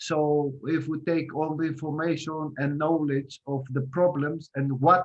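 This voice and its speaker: Speaking in a Greek accent, a man talks at a fairly slow pace with a fairly high pitch. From Greece, Crete. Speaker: guest lecturer on healthy lifestyle. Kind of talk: lecture. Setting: video call. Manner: halting, many fillers.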